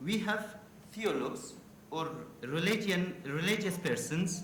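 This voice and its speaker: Amid noticeable background noise and audible room echo, a man with a high voice speaks with an Afghan accent. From Afghanistan. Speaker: university official asking a question at a conference. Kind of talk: audience question at a conference panel. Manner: halting, many hesitations.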